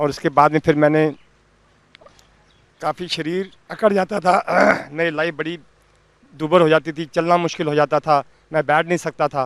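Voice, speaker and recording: Pausing long and often, a fairly high-pitched man speaks in a monotone, flat delivery with a dry, close sound and no echo. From Delhi, India. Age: 60s. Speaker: patient giving testimonial. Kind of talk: testimony.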